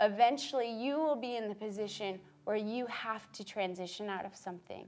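A woman with an American accent and a normal speaking voice, fairly high in pitch, at a moderate pace with ordinary pitch variation. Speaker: Bible college alumna and church worship leader. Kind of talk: talk to students.

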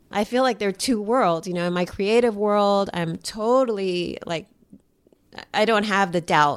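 A woman talks at a moderate pace with an American accent. She has medium pitch and an ordinary speaking voice. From New York. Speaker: artist. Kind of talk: interview. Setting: her home.

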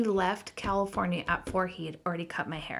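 A woman speaks at a medium pitch. The recording is very clean with a silent background. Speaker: blogger. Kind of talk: interview.

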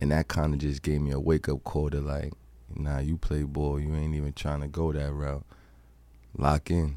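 In a monotone, flat intonation, a man speaks at a moderate pace with a very deep, low pitch and a dark, mellow tone. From Brooklyn, New York. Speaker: street basketball player. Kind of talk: interview.

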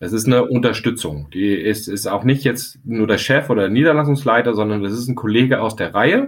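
A man with a medium pitch talks at a fairly quick pace with hardly any pauses. It is an ordinary speaking voice with ordinary pitch variation. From Hesse, near Frankfurt. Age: 40s. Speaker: architect and company director. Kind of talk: interview.

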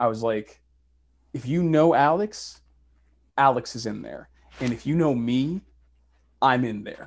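With an American accent and a medium pitch, a man speaks at a fairly slow pace with long, frequent pauses and big swings in loudness, on a very clean recording with a silent background. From Boston, Massachusetts. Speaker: actor and university professor. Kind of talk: casual chat. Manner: animated.

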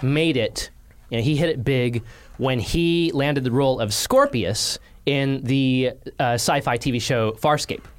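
A man talks at a moderate pace in a fairly high pitch. His is a normal speaking voice. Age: 30s. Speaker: automotive journalist. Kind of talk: casual chat.

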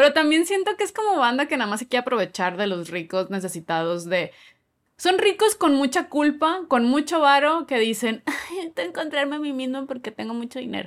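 A woman with a high pitch talks at a fairly quick pace, her pitch swinging very widely. The recording is very clean, with a silent background. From Monterrey, northern Mexico. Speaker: comedian and podcast co-host. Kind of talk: casual chat.

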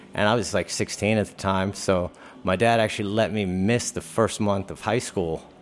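Over music in the background, a man with an American accent speaks in a fairly low, monotone, flat voice. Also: moderate pace. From Virginia, Hampton area. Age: 40s. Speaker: professional skateboarder. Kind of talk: casual interview. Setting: live show in a hotel.

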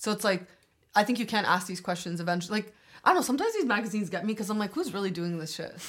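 A woman with a Canadian accent talks at a very fast pace and medium pitch, with ordinary pitch variation and big swings in loudness. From Albania, then Toronto area. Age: 20s. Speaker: law student. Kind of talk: casual chat.

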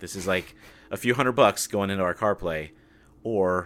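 Very deep and low, a man's voice moves at a moderate pace with ordinary pitch variation. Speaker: podcast host. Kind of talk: casual interview conversation. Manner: talkative.

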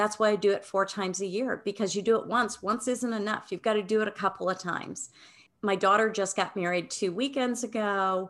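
At a fairly quick pace, a woman with an unremarkable speaking voice talks in a medium pitch with fairly even intonation. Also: quiet background. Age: 60s. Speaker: wellness educator and author. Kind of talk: interview.

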